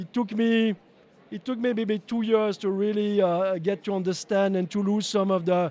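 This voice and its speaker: A man with a French accent and high pitch, at a moderate pace with fairly even intonation. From French-speaking Switzerland. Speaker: company owner and CEO. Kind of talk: interview. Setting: live at a trade show. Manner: halting, many fillers and repetitions.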